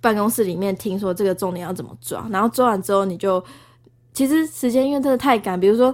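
Over a silent background in a very clean recording, a woman talks very fast with lively intonation. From Taiwan, Tainan. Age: 20s. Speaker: former TV news reporter, graduate student. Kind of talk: casual chat.

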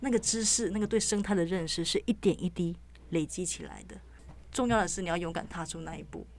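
A woman's fairly quick speech with big swings in loudness. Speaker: news reporter. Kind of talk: casual interview chat.

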